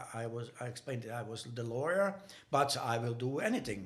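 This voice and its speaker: A somewhat breathy voice speaks at a fairly quick pace. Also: man. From Bosnia. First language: Bosnian/Serbo-Croatian. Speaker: dorm janitor. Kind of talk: interview. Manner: halting.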